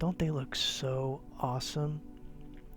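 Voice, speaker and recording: With music playing behind him, a man talks in a fairly high pitch. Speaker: eBay reseller and YouTuber. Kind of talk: casual talk to camera, sarcastic flea market tour. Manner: sarcastic, humorous, whispered ASMR style.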